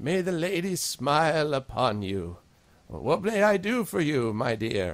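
In a put-on character voice, a man speaks at a fairly high pitch. His pace is fairly slow, with very wide pitch swings. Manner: warm, welcoming.

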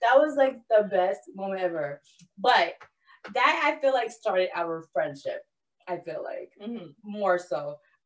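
A woman with a New York accent speaks at a fairly high pitch and a fairly slow pace, in an animated tone. Her pitch swings very widely, and her loudness rises and falls sharply. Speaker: podcast co-host. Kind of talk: casual chat.

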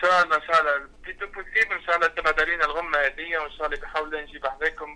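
Over noticeable background noise, a man with a fairly high pitch races at a very fast pace in a flat monotone, with hardly any pauses. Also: big swings in loudness. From Tunisia. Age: young. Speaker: singer. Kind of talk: interview.

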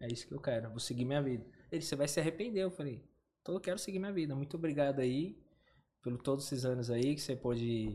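A man with a dark, mellow, somewhat breathy tone, medium pitch and ordinary pitch variation, talking at a very fast pace over a silent background in a very clean recording. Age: 30s. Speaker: online seller. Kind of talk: casual chat.

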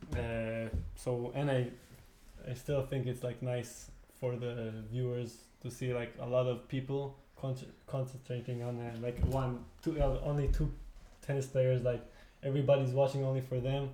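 Audible room echo surrounds a man's medium-pitched, somewhat breathy voice, dark and mellow in tone. He keeps a moderate pace, monotone and flat, with long, frequent pauses. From Israel (Tel Aviv). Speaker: beach tennis player. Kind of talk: casual chat. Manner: halting.

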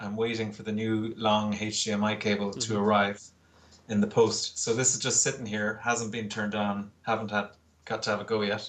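A man with an Irish accent speaks at a moderate pace in a fairly low voice, his intonation flat and monotone. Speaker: poster artist and illustrator. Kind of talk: casual interview. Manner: calm.

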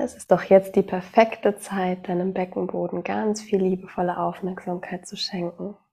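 With vocal fry and a dark, mellow tone, a woman speaks in a calm, soothing way, her intonation fairly even but her loudness swinging widely. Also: medium pitch for a woman. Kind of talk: guided meditation. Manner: slow, soft-spoken, calm and soothing.

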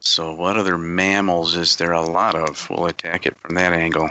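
A man with an American accent and a very deep, low pitch speaks at a fairly slow pace with fairly even intonation. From northern Illinois. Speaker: network infrastructure engineer, quiz contestant. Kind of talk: casual quiz banter.

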